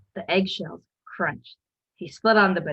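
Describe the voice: Plain read-aloud speech, the background quiet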